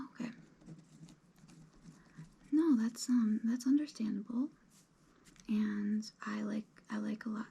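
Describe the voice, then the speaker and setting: A soft-spoken woman with a fairly high pitch talks at a fairly slow pace in a relaxed, somewhat breathy, dark and mellow tone. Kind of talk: ASMR roleplay, relaxed job interview. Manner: soft-spoken, rambling, relaxed.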